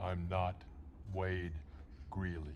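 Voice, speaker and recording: A man puts on a character voice with a menacing tone. His pitch is very deep and low, with clear background noise behind him. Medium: short film. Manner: cold, menacing.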